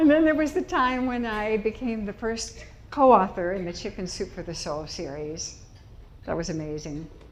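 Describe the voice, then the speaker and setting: The speaker has an American accent and very wide pitch swings. Loudness swings a lot, and room echo is audible. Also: woman, medium pitch for a woman, moderate pace. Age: 80s+. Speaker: public speaker. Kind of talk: inspirational talk. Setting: stage with audience.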